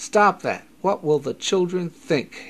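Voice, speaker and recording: A man puts on a gruff character voice, pitched high. He speaks at a fairly slow pace. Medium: read story.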